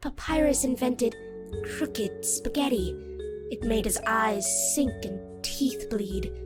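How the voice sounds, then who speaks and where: A cartoonish character voice that sounds female speaks at a fairly slow pace and medium pitch over faint background music. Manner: storytelling.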